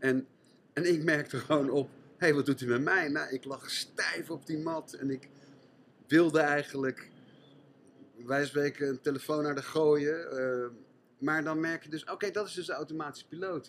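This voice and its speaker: A man's fairly high voice at a moderate pace, fairly even in intonation, with long, frequent pauses. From Netherlands, Gouda. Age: 60s. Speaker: French teacher and mindfulness trainer. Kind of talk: casual interview.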